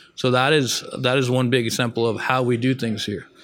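A man talks in a normal speaking voice at a medium pitch. His intonation is fairly even. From northern Mexico and Texas. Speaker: chef. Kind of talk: interview. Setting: restaurant.

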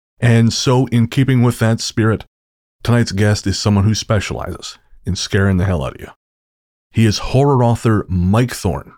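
Here is a plain, everyday voice: a man at medium pitch, moving at a moderate pace with ordinary pitch variation. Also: very clean recording, silent background. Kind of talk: radio dj patter: late-night, intimate, theatrical sign-on to night owls. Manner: warm, smooth, playful, and conspiratorial, like a late-night radio host.

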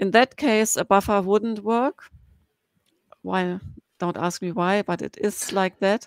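A woman with a German accent talks at a fairly slow pace, leaving long, frequent pauses. Her medium-pitched voice has fairly even intonation and a dry, close sound with no echo. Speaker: blogger and BI consultant. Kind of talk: casual chat.

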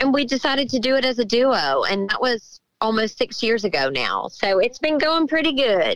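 In a Southern US accent, a woman speaks at a moderate pace with lively intonation, the sound dry and close with no echo. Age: 40s. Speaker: country singer. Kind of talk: interview.

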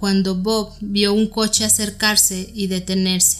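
Music plays behind a woman speaking at medium pitch. Her intonation is flat and monotone, and her pace is fairly slow. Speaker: podcast host. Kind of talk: true-crime narration. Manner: steady, even, documentary-style delivery.

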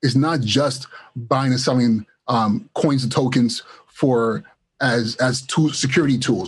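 A man's somewhat breathy, medium-pitched voice in an American accent, fairly slow and fairly even in intonation, with very even loudness. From Los Angeles, Nigerian-born. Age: 40s. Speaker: educator. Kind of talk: casual interview.

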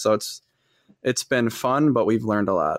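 In a very clean recording with a silent background, a man with an American accent uses a plain, everyday voice at medium pitch, a fairly quick pace and fairly even intonation. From Wisconsin, Fond du Lac. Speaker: entrepreneur, host's husband. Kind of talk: casual chat.

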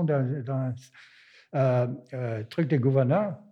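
A man with a German accent talks at a very slow pace. His tone is dark and mellow. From Germany. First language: German (speaking French). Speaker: visual artist. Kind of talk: interview.

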